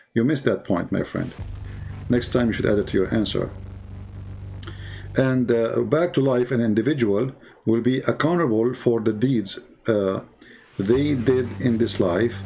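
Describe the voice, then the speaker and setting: Pausing long and often, a man speaks with a medium pitch, ordinary pitch variation and very even loudness. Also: moderate pace. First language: not English. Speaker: religious apologist. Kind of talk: religious commentary monologue. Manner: animated.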